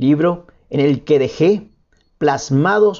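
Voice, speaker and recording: A man is speaking. His pitch is fairly high. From Colombia, La Guajira. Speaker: poet and painter. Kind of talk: interview with read-aloud prose.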